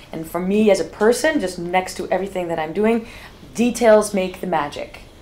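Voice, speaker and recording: Through noticeable background noise, a woman of medium pitch speaks at a fairly quick pace with ordinary pitch variation. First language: not English. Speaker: festival organizer. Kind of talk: casual chat. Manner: halting.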